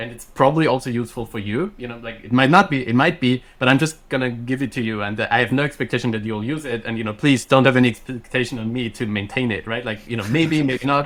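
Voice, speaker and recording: A man speaks very fast with a German accent and hardly any pauses. His pitch is medium, with ordinary variation. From Austria, countryside. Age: 30s. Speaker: software engineer and startup founder. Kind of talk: podcast interview. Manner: conversational, many fillers and restarts.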